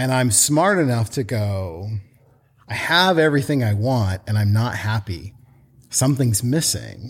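With an American accent, a man speaks at a fairly slow pace and a medium pitch, somewhat breathy, with lively intonation. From US Pacific Northwest, Portland. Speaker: children's book author and company founder. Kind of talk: casual interview chat.

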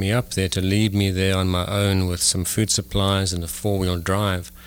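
A man talks at a fairly quick pace, with noticeable background noise behind him. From South Africa. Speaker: physician, urologist. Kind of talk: interview. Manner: hesitant, many fillers.

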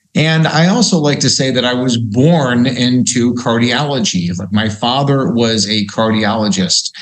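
An unremarkable speaking voice runs on with hardly any pauses. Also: man, medium pitch for a man, lively intonation. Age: 50s. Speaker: cardiologist. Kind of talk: interview.

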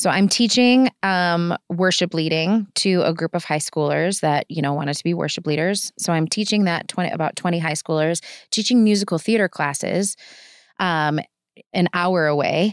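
An unremarkable speaking voice, a woman's in a fairly low pitch with ordinary pitch variation, comes at a moderate pace in a dry, close sound with no echo on a very clean recording with a silent background. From Wisconsin, Kenosha. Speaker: pastor. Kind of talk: testimony.

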